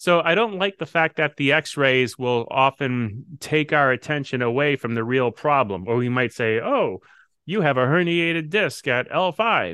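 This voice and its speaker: A man's fairly high-pitched, a normal speaking voice with lively intonation at a fairly slow pace, dry and close with no echo over a quiet background. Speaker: chiropractor and podcast host. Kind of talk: casual health advice conversation.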